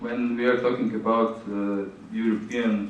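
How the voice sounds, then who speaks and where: A man with a Slovenian accent and medium pitch, at a very slow pace, with audible room echo. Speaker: conference speaker on grants. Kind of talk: conference Q&A. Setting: conference hall with audience. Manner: halting.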